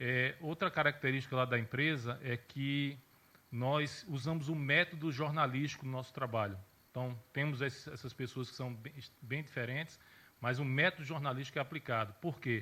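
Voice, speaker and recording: A man talks at a moderate pace with a bright, sharp tone. His medium-pitched voice keeps a fairly even intonation. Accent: southern Brazilian. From Rio Grande do Sul, Brazil (Santa Maria). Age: 40s. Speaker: journalist and social media consultant. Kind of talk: conference talk.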